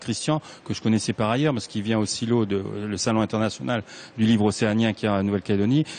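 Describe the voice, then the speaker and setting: Here a man talks at medium pitch. His pace is fairly quick. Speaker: writer. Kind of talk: interview.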